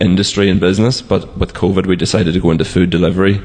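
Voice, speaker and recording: With a Donegal accent, a man talks at a fairly quick pace in a very deep, low pitch with ordinary pitch variation. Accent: Donegal Irish. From Letterkenny, Donegal, Ireland. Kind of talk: interview.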